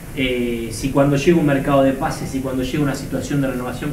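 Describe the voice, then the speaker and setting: Over noticeable background noise, a man with a Rioplatense accent and fairly high pitch speaks at a very fast pace. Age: 30s. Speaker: sports journalist, co-host. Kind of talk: casual interview.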